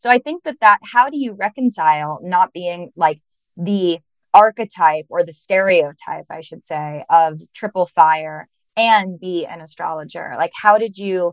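A woman with a normal speaking voice talks at a fairly slow pace and fairly low pitch, with ordinary pitch variation and big swings in loudness. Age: 30s. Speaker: podcast host, astrologer. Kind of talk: casual interview chat.

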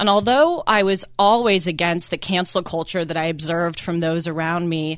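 In an unremarkable speaking voice of medium pitch, a woman talks at a fairly quick pace with ordinary pitch variation. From US West Coast, Los Angeles. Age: 20s. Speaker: guest radio host, college student. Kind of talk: talk radio monologue.

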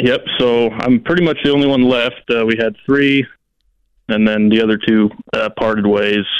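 A man talks at a moderate pace with fairly even intonation in an ordinary speaking voice. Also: medium pitch for a man. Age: 20s. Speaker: power plant worker. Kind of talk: call-in coaching conversation.

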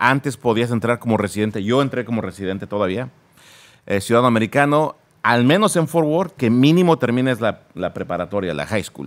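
A man speaks in an animated tone at a medium pitch with lively intonation and a fairly quick pace. The recording is very clean, with a silent background. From Mexico (Naucalpan, State of Mexico). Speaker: police officer. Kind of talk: casual interview.

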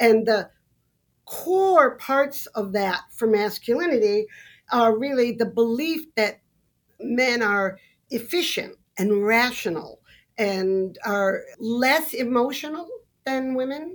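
Very slowly and with lively intonation, a woman with an American accent speaks at a high pitch in a very clean recording with a silent background. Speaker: sociology professor and author. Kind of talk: debate.

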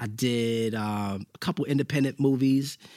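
A man at a medium pitch, in a New York accent, with ordinary pitch variation. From New York, Brooklyn (Bushwick). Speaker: actor. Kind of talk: casual chat.

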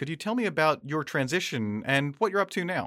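A man with a fairly high pitch, lively intonation, a plain, everyday voice and a moderate pace. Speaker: podcast host. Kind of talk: interview. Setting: studio.

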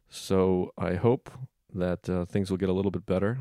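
In a dry, close recording with no echo and a quiet background, a man speaks at a moderate pace with a very deep, low pitch and a dark, mellow tone. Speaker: podcast host, comedian. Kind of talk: casual chat. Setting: home, recording at a microphone.

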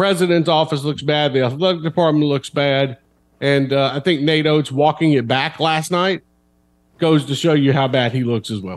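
This man has a normal speaking voice, fairly high in pitch. He speaks at a moderate pace with ordinary pitch variation. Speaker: sports columnist.

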